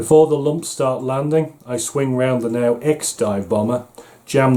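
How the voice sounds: The voice reads in a natural way.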